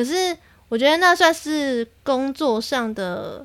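A woman's high-pitched voice at a very slow pace, with lively intonation. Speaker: podcast host. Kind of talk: casual solo monologue. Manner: animated.

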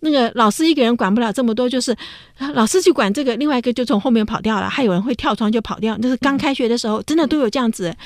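Talking at a very fast pace, a woman keeps a high pitch with ordinary pitch variation. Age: 70s. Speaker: radio host, professor. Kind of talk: casual radio chat. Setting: studio.

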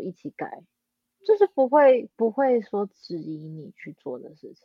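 A woman's high voice with very wide pitch swings. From Taiwan (New Taipei). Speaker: orchestral violist. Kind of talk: casual interview.

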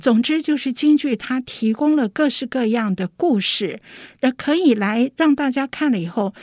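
In a dry, close recording with no echo and a silent background, a woman with a high pitch speaks at a moderate pace with lively intonation. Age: 60s. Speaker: opera playwright and artistic director. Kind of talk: interview. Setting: studio.

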